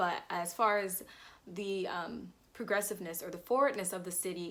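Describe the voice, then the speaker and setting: A woman with an American accent, upbeat in tone, with vocal fry. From Jacksonville, Florida, USA. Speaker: fashion student and vlogger. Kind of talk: casual talk to camera. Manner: chatty, upbeat.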